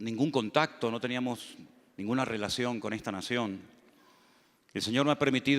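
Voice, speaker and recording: Fairly even intonation marks this man's speech at a moderate pace. It is a very clean recording with a silent background. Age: 60s. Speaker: pastor. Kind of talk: sermon. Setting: church.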